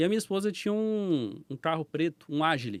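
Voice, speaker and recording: Delivered at a fairly quick pace with a slight mineiro accent, the voice swings very widely in pitch, recorded with a dry, close sound and no echo. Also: man, very clean recording, silent background. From Brazil, Minas Gerais (Belo Horizonte). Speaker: business owner, former police officer. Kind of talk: podcast interview storytelling. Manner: casual.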